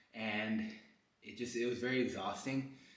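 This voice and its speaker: Audible room echo on a man's moderately paced voice. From Colombia. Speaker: fitness content creator. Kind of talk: workout vlog with personal talk. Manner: hesitant, many fillers and repetitions.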